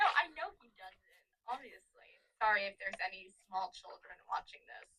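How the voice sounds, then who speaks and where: A woman's loudness swings widely as she talks at a moderate speed. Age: 20s. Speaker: podcast co-host. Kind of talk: casual chat.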